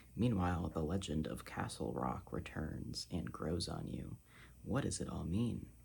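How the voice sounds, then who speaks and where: Soft-spoken, relaxed delivery at a fairly slow pace, with vocal fry and very wide pitch swings. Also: man, very deep, low pitch for a man. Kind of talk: ASMR soft-spoken ramble. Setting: casual talk to camera about a book haul. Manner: soft-spoken, relaxed, chatty.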